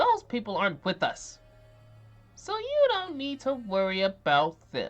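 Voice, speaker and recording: Over faint music in the background, a put-on character voice speaks at a high pitch and a moderate pace. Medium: game stream. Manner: mocking.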